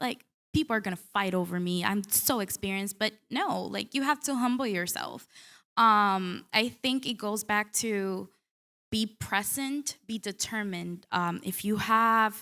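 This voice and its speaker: A woman's bright, sharp voice at medium pitch, in a Spanish accent, fairly slow, with ordinary pitch variation. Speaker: newspaper reporter. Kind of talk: panel discussion.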